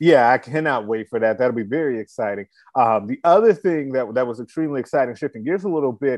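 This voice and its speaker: A man with an American accent at medium pitch, very fast pace and lively intonation, over a quiet background. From Chicago. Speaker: sports podcast host. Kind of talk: casual sports talk chat.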